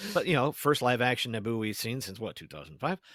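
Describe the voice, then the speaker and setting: The background is silent and the recording very clean. A man talks with vocal fry. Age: 50s. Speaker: podcaster, podcast guest. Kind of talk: casual podcast conversation. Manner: halting, many false starts and fillers.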